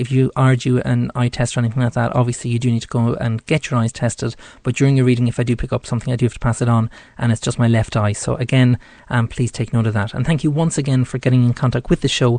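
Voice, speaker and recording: With an Irish accent, the voice moves at a very fast pace in a dark, mellow tone and monotone, flat intonation over a quiet background. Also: man, medium pitch for a man. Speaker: psychic radio host. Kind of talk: tarot reading on live radio. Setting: studio. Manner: hesitant, many fillers.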